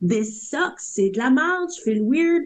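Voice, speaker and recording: Somewhat breathy and animated, a woman speaks at a fairly slow pace. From northern Ontario, West Nipissing. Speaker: graffiti artist. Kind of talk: podcast interview.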